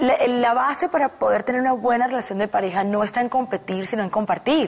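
Her words come at a fairly quick pace. This woman shows ordinary pitch variation. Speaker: talk show guest. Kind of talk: interview answer. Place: studio. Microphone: lapel.

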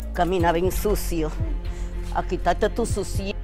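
Clear music plays in the background. Over it, a woman speaks at a fairly slow pace. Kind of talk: acted drama dialogue.

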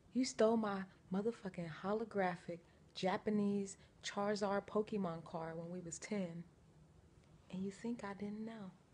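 A woman speaks at a moderate pace with fairly even intonation and long, frequent pauses. Her voice is somewhat breathy, with light background noise behind it. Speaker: vlogger. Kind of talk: casual vlog chat. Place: home room. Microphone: phone near.

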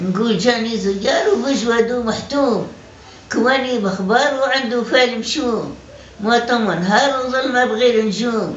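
A woman's high-pitched voice at a fairly slow pace, with ordinary pitch variation, audible room echo and light background noise. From Algeria. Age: 80s+. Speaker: elderly woman reciting her own poem. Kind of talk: poetry reading. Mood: mournful lament. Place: home room. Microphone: phone near.

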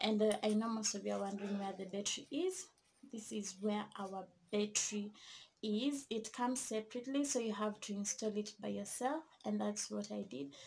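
Over light background noise, a woman speaks in a somewhat breathy voice. Her pace is moderate and her pitch variation ordinary. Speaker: vlogger. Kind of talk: casual vlog chat, product review. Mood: cheerful, enthusiastic. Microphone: phone near.

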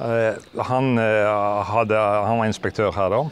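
A man talks at a fairly low pitch. The sound is dry with no echo, over light background noise. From Western Norway, Arna (Bergen); Western Norway. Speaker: retiring teacher. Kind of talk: casual interview. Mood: relaxed, reminiscing, amused. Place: open country. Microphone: lapel.

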